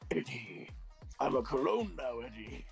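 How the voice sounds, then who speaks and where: Music plays behind a raspy put-on character voice delivered at a moderate pace. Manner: comically dumb, goofy.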